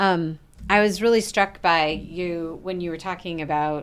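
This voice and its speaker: Her intonation stays fairly even as this woman speaks in a fairly low pitch. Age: 50s. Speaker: podcast host. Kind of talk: casual chat.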